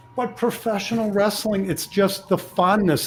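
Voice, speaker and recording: With an American accent, a man talks while music runs in the background. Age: 50s. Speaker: podcast host. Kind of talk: podcast interview.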